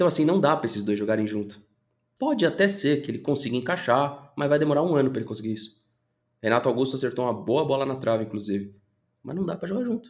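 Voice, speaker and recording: The speaker goes at a very fast pace with lively intonation. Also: man. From Brazil. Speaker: football YouTuber. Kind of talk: opinion commentary video. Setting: home studio. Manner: animated. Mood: frustrated venting. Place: home room.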